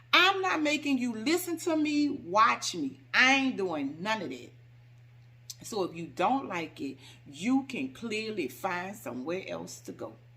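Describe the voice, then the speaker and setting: A woman speaks fairly slowly in a fairly high, bright, sharp voice with vocal fry. Her animated delivery swings very widely in pitch and heavily in loudness. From New Orleans, US South. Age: 50s. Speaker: home decor YouTuber. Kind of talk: casual Q&A vlog. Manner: animated, sassy.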